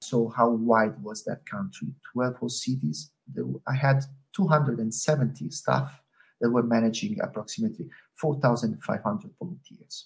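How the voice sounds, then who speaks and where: A man with a medium pitch and vocal fry talks fairly slowly, his pitch swinging very widely. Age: 40s. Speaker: sports event operations manager. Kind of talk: interview. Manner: hesitant, many fillers.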